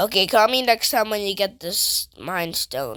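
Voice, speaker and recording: A female-sounding, raspy voice sits at a medium pitch. It is a put-on character voice. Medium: machinima.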